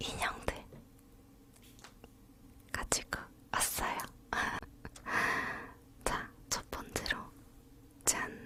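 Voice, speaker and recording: Whispering at a very slow pace, a woman leaves long, frequent pauses against noticeable background noise. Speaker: ASMR YouTuber. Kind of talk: ASMR whispered talk to camera. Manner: whispered.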